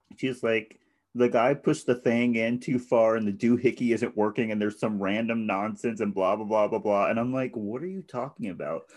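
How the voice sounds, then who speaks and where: With a plain, everyday voice, a man speaks at medium pitch and a fairly quick pace, using ordinary pitch variation and hardly any pauses. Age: 20s. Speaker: podcast co-host. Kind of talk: casual chat.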